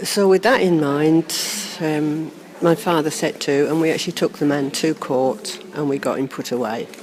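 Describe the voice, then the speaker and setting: A woman speaks with a very deep, low pitch and ordinary pitch variation. Her pace is moderate, over noticeable background noise. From Norfolk, England. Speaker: birth mother reunited with adopted son. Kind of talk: interview testimony. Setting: seated in a cathedral.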